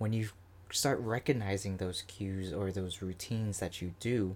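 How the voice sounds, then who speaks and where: A man with an American accent and a plain, everyday voice, fairly low in pitch with ordinary pitch variation, on a very clean recording with a silent background. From Florida. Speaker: podcast host. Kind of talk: solo podcast monologue. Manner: casual, filler-heavy.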